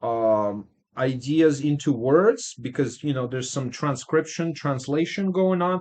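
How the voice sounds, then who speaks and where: A man with a non-native accent, fairly high pitch, lively intonation and a fairly slow pace. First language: not English. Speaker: music producer streamer giving track feedback. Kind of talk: casual live stream chat. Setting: live stream. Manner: hesitant, many fillers.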